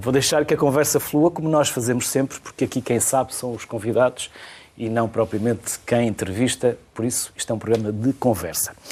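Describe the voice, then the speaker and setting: The pace is fairly quick. This man's pitch is medium and varies in an ordinary way. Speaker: TV talk show host. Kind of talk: TV studio interview.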